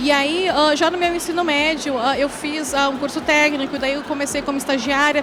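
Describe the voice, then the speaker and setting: Someone with a southern Brazilian accent speaks at a fairly quick pace amid noticeable background noise and audible room echo. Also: woman. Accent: southern Brazilian (gaúcho). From Rio Grande do Sul, Brazil (countryside). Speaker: tech executive and founder of women-in-tech platform. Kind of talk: panel talk. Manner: hesitant, many fillers.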